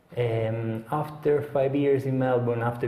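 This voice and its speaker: A man with an Italian accent speaks with ordinary pitch variation against noticeable background noise. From Sicily, Italy. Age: young. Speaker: head chef. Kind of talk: interview answer.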